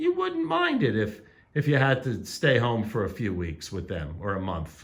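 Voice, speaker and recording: A somewhat breathy man's voice at medium pitch, with very wide pitch swings and a moderate pace. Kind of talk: casual interview questions.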